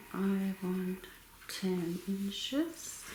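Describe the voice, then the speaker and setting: A soft-spoken woman's voice at a medium pitch, with noticeable background noise. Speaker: crafting YouTuber. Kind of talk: tutorial. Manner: soft-spoken, quiet.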